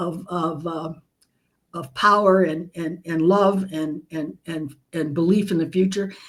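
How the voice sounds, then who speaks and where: A woman speaks fairly slowly in a normal speaking voice, her pitch fairly low. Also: fairly even intonation. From United States, immigrant from Nicaragua as small child. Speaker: leadership expert and author. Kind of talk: interview conversation.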